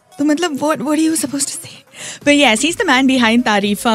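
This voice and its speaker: Music behind a woman speaking with ordinary pitch variation. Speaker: radio host. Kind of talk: radio interview, casual chat. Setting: studio. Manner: animated, code-switching Hindi and English.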